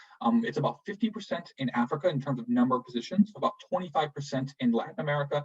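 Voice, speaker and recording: Somewhat breathy and fairly high-pitched, a man speaks at a very fast pace with very wide pitch swings. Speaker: Peace Corps recruiter and returned volunteer. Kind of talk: online info session presentation. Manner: hesitant with many fillers.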